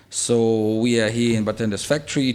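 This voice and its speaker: A man speaks with a Russian accent at a medium pitch. His pace is fairly quick. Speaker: bar owner and podcast host. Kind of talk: casual chat.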